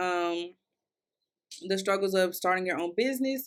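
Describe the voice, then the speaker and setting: A bright, sharp voice in a Kentucky accent at a moderate pace with ordinary pitch variation, on a very clean recording with a silent background. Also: woman. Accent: Kentucky Southern accent, getting stronger. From US South, Louisville, Kentucky. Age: 20s. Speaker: podcast host, content creator. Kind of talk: casual solo podcast monologue. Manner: conversational, chatty with fillers.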